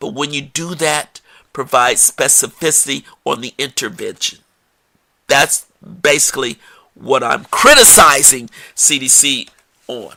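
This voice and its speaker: Animated in tone, a man speaks at a fairly slow pace, with big swings in loudness and long, frequent pauses. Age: 60s. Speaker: podcast host, public health researcher. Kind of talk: solo podcast commentary.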